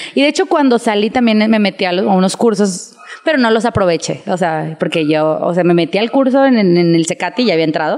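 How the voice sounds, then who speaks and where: Speaking at a fairly quick pace with hardly any pauses, a woman with a medium-pitched voice uses lively intonation over noticeable background noise. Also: very even loudness. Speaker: fashion designer. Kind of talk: casual chat.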